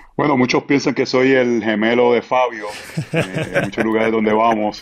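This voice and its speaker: A man with a Puerto Rican accent talks at a moderate pace and medium pitch, with fairly even intonation and very even loudness. Noticeable background noise runs underneath. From Puerto Rico. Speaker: pastor. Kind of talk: podcast interview.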